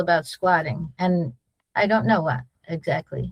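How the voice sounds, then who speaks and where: A woman's voice with very wide pitch swings. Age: 70s. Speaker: midwife. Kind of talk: Q&A on video call.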